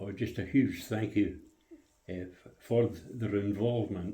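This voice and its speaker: In a Scottish accent, a man with a fairly low pitch and a dark, mellow, somewhat breathy tone speaks at a very slow pace, with audible room echo around him. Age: 90s. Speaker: RAF veteran. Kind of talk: interview. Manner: halting, many hesitations.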